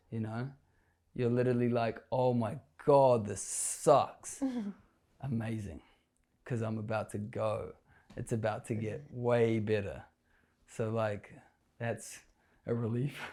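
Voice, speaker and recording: In a very clean recording with a silent background, a man with a dark, mellow tone and medium pitch speaks at a fairly slow pace with fairly even intonation and long, frequent pauses. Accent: New Zealand. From New Zealand. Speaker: florist. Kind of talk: interview answer. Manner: casual.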